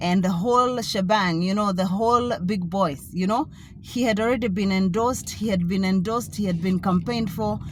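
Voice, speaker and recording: Somewhat breathy speech comes at a moderate pace with hardly any pauses and audible room echo. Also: woman, medium pitch for a woman, ordinary pitch variation. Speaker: author and vlogger. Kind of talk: casual vlog monologue. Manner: halting, many fillers.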